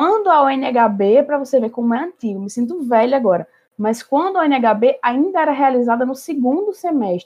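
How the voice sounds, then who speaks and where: A woman's high-pitched voice at a moderate pace with lively intonation. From Natal, northeastern Brazil. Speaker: history student, former olympiad competitor. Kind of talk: podcast conversation.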